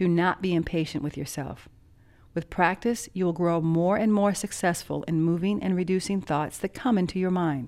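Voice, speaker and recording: A woman's plain, everyday voice at medium pitch and moderate pace, on a very clean recording with a silent background. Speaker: meditation teacher. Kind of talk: guided meditation and instructional talk. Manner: measured, formal.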